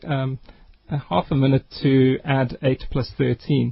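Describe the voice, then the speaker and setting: This man's voice is fairly high in pitch and somewhat breathy. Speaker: education nonprofit co-founder. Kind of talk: radio interview. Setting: studio.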